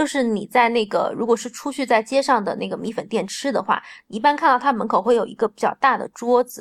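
A woman talks at a moderate pace with a fairly high voice and ordinary pitch variation. The recording is very clean and silent behind her, with a dry, close sound and no echo. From Changsha, Hunan, China. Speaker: food blogger and home cook. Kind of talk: casual chat.

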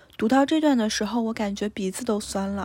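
A woman speaks at a fairly high pitch in a dark, mellow tone that is somewhat breathy. The recording is very clean, with a silent background. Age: 20s. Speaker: podcast host. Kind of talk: solo book review monologue.

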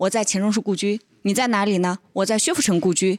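A woman at a fairly quick pace. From northern China. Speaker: teahouse co-owner. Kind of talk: casual chat. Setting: teahouse.

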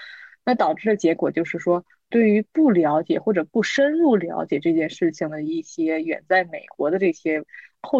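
With lively intonation and an unremarkable speaking voice, a woman talks at a moderate pace and medium pitch. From Tianjin, China. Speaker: business consultant. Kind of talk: panel discussion.

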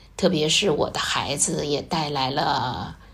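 Speech comes at a very slow pace with ordinary pitch variation. Audible room echo and noticeable background noise fill the recording. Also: woman. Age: 50s. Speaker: secondary school chemistry teacher. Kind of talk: casual interview.

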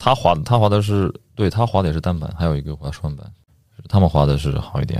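Very fast and very deep, a man's low-pitched voice carries lively intonation. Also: big swings in loudness. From Yunnan, China. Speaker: international student. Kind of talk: casual chat.

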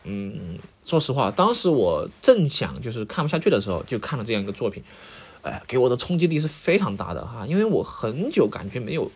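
Showing vocal fry, a man speaks in a fairly high voice with very wide pitch swings and big swings in loudness. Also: fairly quick pace. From Sichuan. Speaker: podcast host. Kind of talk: casual solo monologue. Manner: hesitant, many filler sounds.

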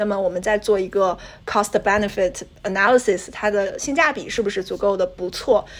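A woman speaks at a moderate pace in an unremarkable speaking voice. Her pitch sits in the middle range, with ordinary variation. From China. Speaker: graduate student and NGO intern. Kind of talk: casual chat.

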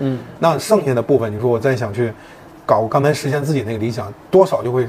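A man at a very fast pace and medium pitch, with ordinary pitch variation and noticeable background noise. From Beijing. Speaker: marketing agency CEO. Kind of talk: interview. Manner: halting.

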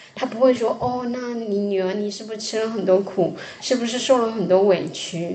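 At a moderate pace, a woman speaks with a fairly high pitch and fairly even intonation. Audible room echo and noticeable background noise accompany her. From Fujian, China. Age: 40s. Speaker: podcast host. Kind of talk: casual chat.

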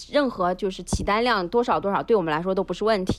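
Against a quiet background, a woman uses a normal speaking voice at medium pitch with ordinary pitch variation. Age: 40s. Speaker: youth baseball club manager. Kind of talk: casual chat.

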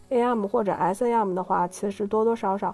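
A woman with a dark, mellow tone speaks at a fairly high pitch with fairly even intonation. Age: 30s. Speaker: public relations professional. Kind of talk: interview. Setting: livestream. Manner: halting.

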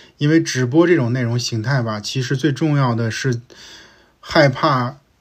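A somewhat breathy male voice at a moderate pace with ordinary pitch variation. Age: 40s. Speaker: podcast host, former big-tech operations director. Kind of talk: solo year-end review monologue. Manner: casual, conversational with many fillers.

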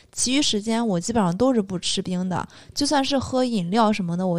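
A woman with a plain, everyday voice speaks at a medium pitch with ordinary pitch variation and a fairly quick pace. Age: young. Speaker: podcast co-host. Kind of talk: casual chat.

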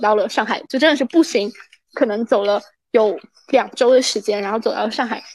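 Her pitch rises and falls in an ordinary way. The woman keeps a moderate tempo. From China, Anhui. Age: 20s. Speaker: student abroad. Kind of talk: casual interview. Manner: halting, many fillers.

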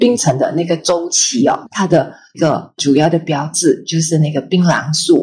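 Somewhat breathy, the voice keeps a moderate pace with ordinary pitch variation and hardly any pauses. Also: woman, fairly low pitch for a woman. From Malaysia, Kedah. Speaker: magazine editor and bookstore owner. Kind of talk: casual interview. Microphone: poor audio quality.

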